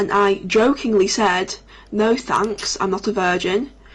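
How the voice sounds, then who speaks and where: A woman with a northern English accent speaks at a fairly slow pace, her medium-pitched voice following a fairly even intonation. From northern England. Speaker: gaming streamer. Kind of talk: casual storytelling on a livestream. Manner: halting, many restarts.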